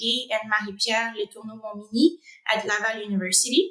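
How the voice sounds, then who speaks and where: A woman's bright, sharp voice in a French Canadian accent. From Quebec, Canada (Rimouski). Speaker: animal science researcher. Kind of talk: interview. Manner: hesitant, many fillers.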